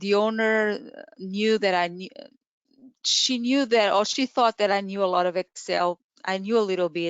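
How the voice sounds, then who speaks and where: A woman with a Portuguese accent, fairly even intonation and long, frequent pauses in a quiet background. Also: moderate pace, dry sound with no echo. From Portugal. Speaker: Excel trainer. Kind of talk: webinar presentation. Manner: halting. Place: home room. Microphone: webcam.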